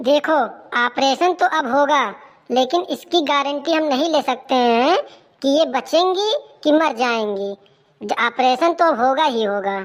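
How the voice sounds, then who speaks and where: A woman puts on a cartoonish character voice with a high pitch and lively intonation. She keeps a moderate pace and very even loudness. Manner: blunt, gruff.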